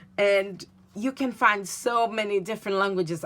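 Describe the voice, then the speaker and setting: A woman with a Portuguese accent talks at a fairly slow pace with fairly even intonation, in a very clean recording with a silent background. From Brazil / Portugal. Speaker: craft demonstrator. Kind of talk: tutorial. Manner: halting.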